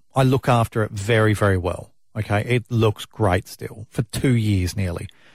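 A man speaks with an Australian accent, his voice somewhat breathy. The sound is dry and close, with no echo. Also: very clean recording, silent background. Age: 30s. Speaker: radio host. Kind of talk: breakfast radio chat.

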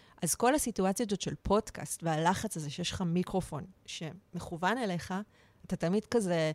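An unremarkable speaking voice from a woman at medium pitch, with ordinary pitch variation and a moderate pace, dry and close with no echo, on a very clean recording with a silent background. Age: 40s. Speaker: art director acting as guest interviewer. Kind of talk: casual interview chat; reading a prepared opener aloud.

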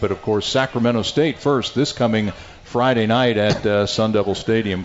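Over noticeable background noise, a man speaks at a fairly quick pace with a fairly low pitch and ordinary pitch variation. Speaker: radio play-by-play announcer and show host. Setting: live restaurant broadcast. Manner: smooth, upbeat, brisk and rhythmic; broadcast-polished.

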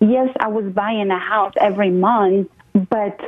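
A normal speaking voice with fairly even intonation, at a moderate pace. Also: woman. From abroad, moved to the US at 22. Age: 40s. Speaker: real estate investor and mentor. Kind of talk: interview.

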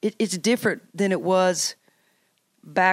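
A woman with a Tennessee accent, medium pitch and fairly even intonation at a moderate pace, in a dry, close sound with no echo. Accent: Southern US (Tennessee). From US South, Tennessee. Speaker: college basketball coach. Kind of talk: interview.

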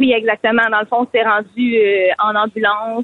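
A woman's fairly high-pitched voice moves along at a moderate pace. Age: 20s. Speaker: caller. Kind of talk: testimony. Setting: phone call.

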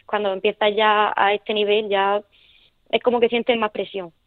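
In a Murcian accent, a woman talks at a moderate pace with a fairly high pitch. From Murcia, Spain (Nonduermas). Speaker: para taekwondo athlete. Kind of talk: radio interview. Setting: phone call. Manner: halting.

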